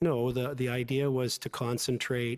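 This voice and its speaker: In a Canadian accent, a man speaks in a monotone, flat intonation, recorded with a dry, close sound with no echo. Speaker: lawyer testifying as witness. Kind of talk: inquiry testimony under cross-examination. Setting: public inquiry hearing room. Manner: fast.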